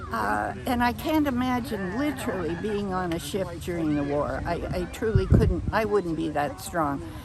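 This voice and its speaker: A woman with a fairly low pitch speaks at a moderate pace, her pitch swinging very widely. Noticeable background noise and audible room echo fill the recording. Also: hardly any pauses. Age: 80s+. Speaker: amateur radio operator. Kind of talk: interview. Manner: halting.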